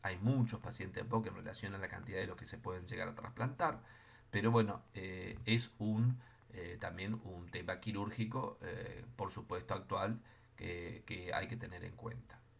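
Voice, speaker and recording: Somewhat breathy, a man of medium pitch speaks at a fairly slow pace with fairly even intonation. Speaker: physiotherapy lecturer. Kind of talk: lecture.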